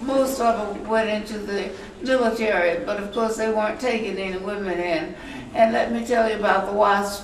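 A woman's fairly high voice with fairly even intonation, against audible room echo and light background noise. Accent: American. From US South. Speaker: private pilot. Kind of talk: ceremonial speech. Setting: stage with audience. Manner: warm. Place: meeting room. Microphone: camera far.

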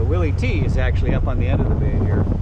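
Loud background noise accompanies a man talking at a fairly quick pace. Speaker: boat skipper vlogger. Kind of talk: casual vlog chat. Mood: relaxed, cheerful. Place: boat. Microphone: phone near.

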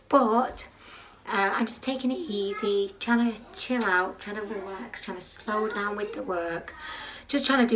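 A woman's pitch varies in an ordinary way over noticeable background noise. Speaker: parent vlogger. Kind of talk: casual vlog chat. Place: kitchen.

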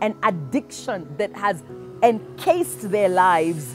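Clear music plays in the background as a woman speaks at a moderate pace, the sound dry with no echo. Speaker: minister. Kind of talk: sermon and prayer. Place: garden.

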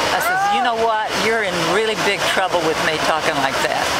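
Over heavy background noise, a woman talks at a medium speed. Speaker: WWII Navy veteran (WAVES). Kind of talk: personal war memories, casual recollection. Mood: lively, amused storytelling. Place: street. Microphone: phone near.

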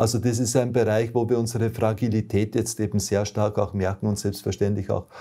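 A man talks at a fairly quick pace in a fairly low pitch, with a dark, mellow tone and a somewhat breathy quality. His intonation is monotone and flat, and the background is quiet. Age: old. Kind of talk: testimony. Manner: hesitant, frequent fillers. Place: home room.

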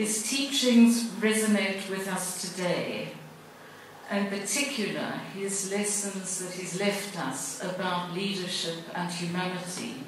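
A woman at a medium pitch with ordinary pitch variation, strong room echo and light background noise. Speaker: foundation chairperson. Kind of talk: prepared speech. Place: hall.

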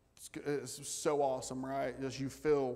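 With a dark, mellow tone and vocal fry, a man speaks at a medium pitch and moderate pace with little pitch movement.

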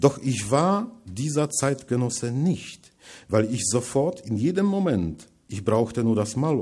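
The background is quiet, and the speech has lively intonation. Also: man. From Poland, Masuria; Poland. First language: Polish (speaking German). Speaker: writer, lecturer; lecturer. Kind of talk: lecture reading from manuscript. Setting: lecture hall with audience. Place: hall.

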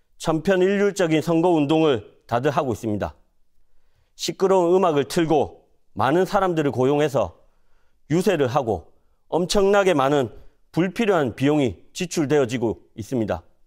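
A man's fairly high voice at a moderate pace, with lively intonation, over a quiet background. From South Korea, North Gyeongsang (Cheongsong); North Gyeongsang, South Korea. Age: 30s. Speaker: parliamentary candidate; candidate. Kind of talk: campaign speech. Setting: studio. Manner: formal. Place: studio.

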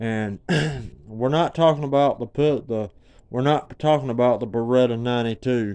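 The speaker is a man with a Southern US accent. His intonation stays fairly even, and the background is quiet. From Georgia, US South. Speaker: homeowner telling a story. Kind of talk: casual talk to camera. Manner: stutter. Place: home room. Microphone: phone near.

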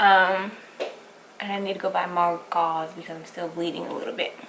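Noticeable background noise runs under a woman talking at a moderate pace. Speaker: vlogger. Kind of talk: casual vlog chat. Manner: careful speech after wisdom-tooth surgery. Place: kitchen. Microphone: camera far.

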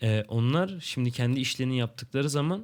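A man talks at a fairly quick pace with ordinary pitch variation. The recording is very clean and the background silent. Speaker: gaming youtuber. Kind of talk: gameplay commentary. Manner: casual, laughs often. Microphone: new microphone and headset.

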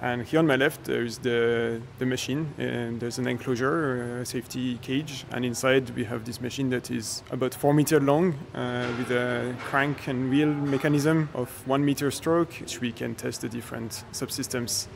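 Over light background noise, a man speaks at a moderate pace with hardly any pauses and fairly even intonation. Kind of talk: interview answer. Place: workshop.

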